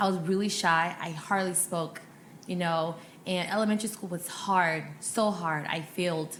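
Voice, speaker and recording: At a moderate pace, someone speaks with an American accent amid audible room echo. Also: woman, fairly low pitch for a woman. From Ghana, then Sacramento, California from age nine. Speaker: healthcare recruiter and media founder. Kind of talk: podcast interview, personal story. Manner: animated, casual.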